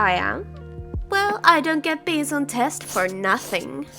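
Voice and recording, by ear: A woman puts on a character voice, high-pitched and bright with a sharp tone, with vocal fry and big pitch swings. She speaks slowly over faint background music.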